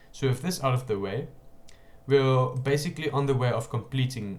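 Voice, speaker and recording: A man speaks in a somewhat breathy voice. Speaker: programming tutorial creator. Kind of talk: coding tutorial.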